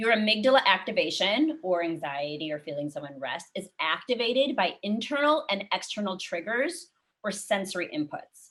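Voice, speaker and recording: With an animated tone, a woman speaks at a moderate pace, her medium pitch moving in very wide swings. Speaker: wellness workshop instructor. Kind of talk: online workshop talk.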